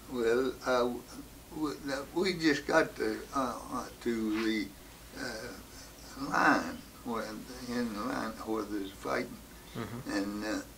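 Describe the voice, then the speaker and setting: A man with an American accent speaks at a very slow pace, leaving long, frequent pauses. His pitch sits in the medium range with ordinary variation, and noticeable background noise runs underneath. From West Virginia. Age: 80s+. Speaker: war veteran. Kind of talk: interview answer.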